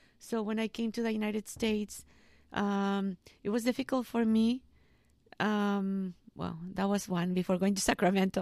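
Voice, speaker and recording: A woman with a Spanish accent speaks at a moderate pace and medium pitch, her intonation fairly even, on a very clean recording with a silent background. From Mexico, Jalisco. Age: 30s. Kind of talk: interview about vocation. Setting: school library.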